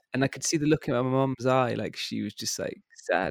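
In a West Midlands accent, a man with a fairly high pitch speaks at a moderate pace with ordinary pitch variation, in a dry, close sound with no echo. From England, Worcester. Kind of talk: casual interview.

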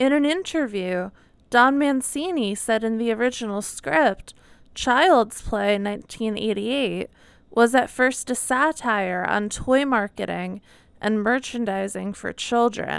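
Woman's voice, an unremarkable speaking voice, at a fairly high pitch and fairly slow pace, ordinary pitch variation, very clean recording with a silent background. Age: 20s. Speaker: horror podcast co-host. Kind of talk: casual chat.

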